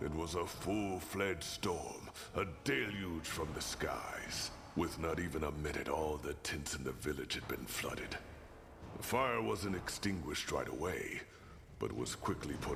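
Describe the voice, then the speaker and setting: Over loud background noise, a man puts on a character voice pitched very deep and low, speaking at a moderate pace. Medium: video game. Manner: blunt, dry.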